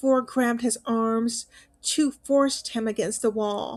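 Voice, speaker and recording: Pitched fairly high, a woman uses a normal speaking voice at a fairly slow pace with fairly even intonation, on a very clean recording with a silent background. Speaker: narrator. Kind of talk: horror story narration.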